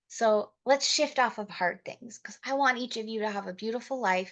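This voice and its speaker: A woman talks at a moderate pace in an ordinary speaking voice, medium in pitch with ordinary pitch variation. The background is quiet. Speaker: motivational speaker and network marketing trainer. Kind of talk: training talk.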